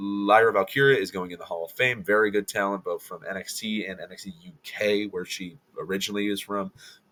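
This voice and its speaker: A man talks at a fairly quick pace. His pitch sits fairly low, with ordinary variation. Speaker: wrestling commentator YouTuber. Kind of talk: casual commentary ranking video. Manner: fast.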